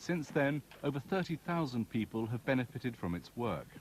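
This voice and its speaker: A man's normal speaking voice, medium in pitch, with lively intonation at a moderate pace. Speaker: journalist. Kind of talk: documentary narration.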